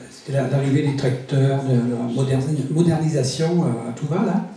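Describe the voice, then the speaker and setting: Medium-pitched man with a Breton accent at a fairly slow pace, amid noticeable background noise and audible room echo. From Brittany, France. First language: Breton (speaking French). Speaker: writer. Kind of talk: interview. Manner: halting, many hesitations.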